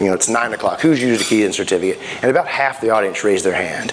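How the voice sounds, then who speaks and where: A man talks very fast with lively intonation. Noticeable background noise and audible room echo surround him. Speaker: security sales engineer presenter. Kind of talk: conference presentation. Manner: casual, conversational with fillers.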